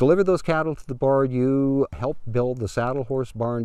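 A man at a fairly quick pace, ordinary pitch variation, dry sound with no echo, quiet background. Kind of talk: interview answer. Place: open country. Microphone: lapel.

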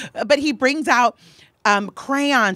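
A woman speaks with an American accent in a bright, sharp tone. The sound is dry with no echo. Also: quiet background. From Texas, San Antonio; Texas. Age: 30s. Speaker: comedian and performer; comedian. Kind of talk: casual chat. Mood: relaxed, joking, lively. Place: studio. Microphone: handheld.

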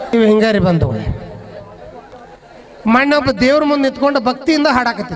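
Crowd noise fills the background as a man with an extremely high pitch talks with ordinary pitch variation. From North Karnataka. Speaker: stand-up comedian; school teacher. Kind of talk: stand-up comedy to live audience. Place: stage. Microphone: handheld.

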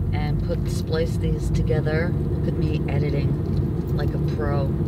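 Over loud background noise, a woman speaks at a very slow pace. The sound is dry, with no echo. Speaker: vlogger. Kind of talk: casual vlog chat. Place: car. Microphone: phone near.

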